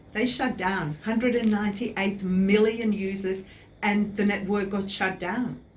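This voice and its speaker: Audible room echo surrounds a woman talking at a fairly slow pace with fairly even intonation. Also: medium pitch for a woman. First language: not English. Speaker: website designer. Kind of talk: interview.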